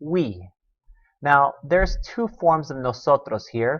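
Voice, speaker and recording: With an American accent, this man talks. He takes his words very slowly. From US South. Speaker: teacher. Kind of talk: lesson. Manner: casual.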